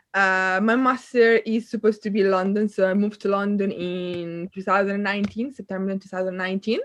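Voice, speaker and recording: A woman rattles along at a fairly quick pace with hardly any pauses, keeping a medium pitch in a monotone, flat intonation. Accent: Italian. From northern Italy, near Milan. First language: Italian. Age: 20s. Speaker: student and kayak instructor. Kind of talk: casual chat.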